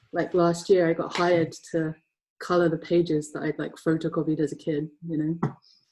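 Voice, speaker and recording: With an English accent, a woman speaks in a dark, mellow tone at a fairly low pitch, her intonation monotone and flat, her pace moderate. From England, Essex. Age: 30s. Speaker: comic colorist. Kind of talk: casual interview. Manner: hesitant, many fillers.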